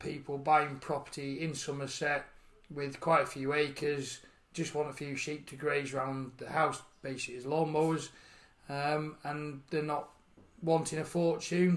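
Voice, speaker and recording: A man with a Yorkshire accent speaks at a fairly high pitch and a fairly slow pace. His intonation is flat and monotone. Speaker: farmer and charity founder. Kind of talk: interview. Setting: outdoors on a farm bench.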